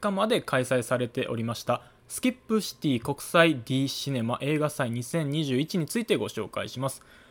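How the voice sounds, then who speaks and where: Over a silent background in a very clean recording, a man moves at a moderate pace, his pitch swinging very widely. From Kansai, Japan. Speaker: cinema staff member and podcast host. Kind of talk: solo podcast talk. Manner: polite, formal.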